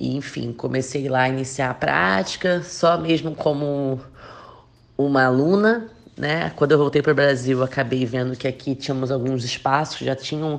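A woman talks in a very deep, low pitch with ordinary pitch variation. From Rio de Janeiro, Brazil. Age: 20s. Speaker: athlete. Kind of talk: podcast interview.

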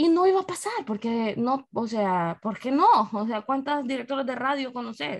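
With a high pitch, a woman's voice moves through very wide pitch swings. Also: moderate pace. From El Salvador, San Miguel. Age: 30s. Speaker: radio presenter and digital marketer. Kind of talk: casual interview chat.

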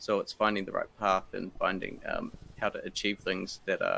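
A New Zealand accent comes through. Delivery moves at a moderate pace. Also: man. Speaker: fighting game tournament organizer. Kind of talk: casual chat.

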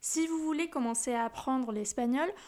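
Moderate pace and ordinary pitch variation from a woman with a high pitch. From Huesca, Aragón, northern Spain. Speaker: Spanish teacher. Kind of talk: sales pitch.

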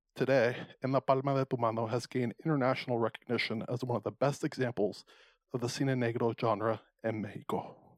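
A man at a medium pitch speaks very fast, with a dry, close sound, no echo, and a very clean recording with a silent background. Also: fairly even intonation. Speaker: podcast host. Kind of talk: casual chat.

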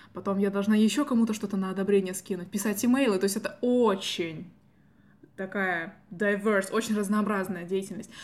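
Her pitch is medium, and it varies in an ordinary way. The woman keeps a moderate pace. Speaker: student podcast host. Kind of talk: casual chat.

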